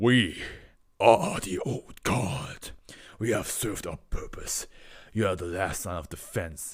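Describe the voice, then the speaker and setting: A man puts on a growling character voice at a fairly low pitch. He goes at a fairly slow pace and leaves long, frequent pauses. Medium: read story. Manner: proud.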